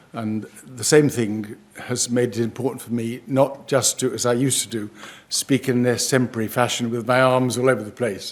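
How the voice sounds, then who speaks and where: A man talks with a British accent at a medium pitch. His intonation is monotone and flat. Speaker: professor. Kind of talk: lecture. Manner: slightly slurred speech after a stroke; halting, many hesitations.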